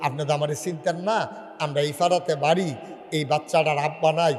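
Fairly high in pitch, a man is heard with audible room echo. Noticeable background noise runs behind him. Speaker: Islamic preacher. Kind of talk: sermon. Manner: animated.

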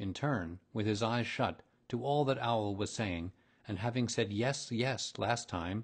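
A passage is read aloud in a natural voice.

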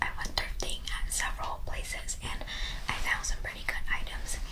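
Over noticeable background noise, a woman with an extremely high pitch talks at a moderate pace in a monotone, flat intonation. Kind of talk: ASMR thrift haul, casual talk to camera. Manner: whispered, soft-spoken.

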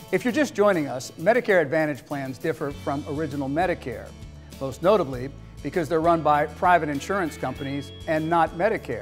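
A man speaks at a fairly quick pace with faint music in the background. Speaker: TV news-style anchor / presenter. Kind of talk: TV infomercial news anchor read. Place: studio.

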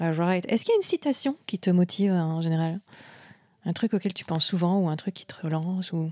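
Over a very clean recording with a silent background and a dry, close sound with no echo, a woman speaks fairly quickly in a fairly low pitch with a dark, mellow tone, ordinary pitch variation and big swings in loudness. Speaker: podcast host. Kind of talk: casual interview. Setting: event venue in Paris.

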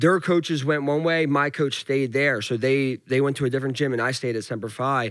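A man of medium pitch talks at a fairly quick pace with a strong Philadelphia accent, hardly pausing and keeping his intonation fairly even. The background is quiet and the sound is dry with no echo. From Philadelphia, US. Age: 20s. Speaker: professional MMA fighter. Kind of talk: casual interview chat. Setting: studio. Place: studio. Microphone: studio mic.

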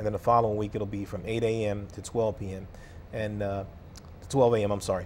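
A man with an American accent talks at a moderate pace in a fairly low pitch. His intonation is monotone and flat, over light background noise. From US Mid-Atlantic. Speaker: mayor. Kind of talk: interview. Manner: halting. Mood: earnest, at times frustrated. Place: studio. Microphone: lapel.

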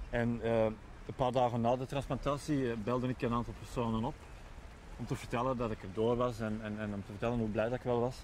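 Over light background noise, a man talks at a very fast pace in a flat monotone. The sound is dry with no echo. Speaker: lung transplant patient and association member. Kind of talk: interview testimony. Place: waterside. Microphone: lapel.

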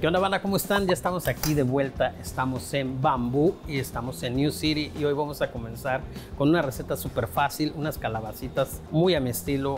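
Against clear music in the background, a man talks at a fairly quick pace with hardly any pauses. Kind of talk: tutorial. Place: kitchen.

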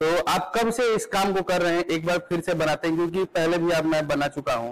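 A fairly quick pace from a man, his pitch fairly high. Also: ordinary pitch variation.

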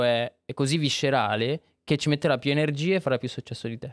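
A man with a normal speaking voice, fairly high pitched, at a fairly quick pace, dry with no echo against a quiet background. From Monza, northern Italy; Italy. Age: 20s. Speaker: filmmaker; podcast guest. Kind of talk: casual chat. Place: studio. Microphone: studio mic.

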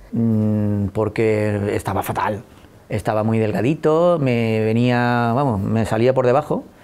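A man speaks at a very slow pace with ordinary pitch variation. His loudness stays very even. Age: 40s. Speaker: patient with Crohn's disease. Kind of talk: testimony. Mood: reflective, recalling hard times. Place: office. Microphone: lapel.

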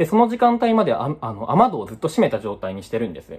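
The man talks at a fairly quick pace. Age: 20s. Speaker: unemployed vlogger; vlogger. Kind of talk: personal vlog monologue. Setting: at home. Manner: halting, many fillers. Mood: subdued, low energy. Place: home room. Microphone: phone near.

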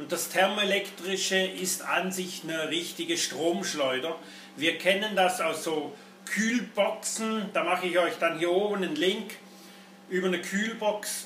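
Over light background noise and audible room echo, a man speaks fairly slowly at a high pitch with ordinary variation. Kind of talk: product commentary. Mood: sarcastic, critical. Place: workshop.

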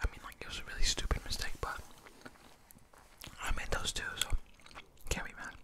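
A soft-spoken man at a fairly quick pace amid loud background noise. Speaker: mukbang-style storyteller. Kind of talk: casual vlog chat. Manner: soft close-mic ASMR speech. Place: home room. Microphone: studio mic.

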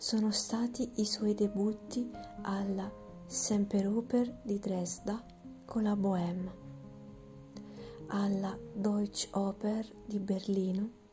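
Whispering softly over background music, a woman speaks very slowly at a very even loudness, with long, frequent pauses. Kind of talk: ASMR whispered reading of a biography. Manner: whispered, soft, slow, relaxing.

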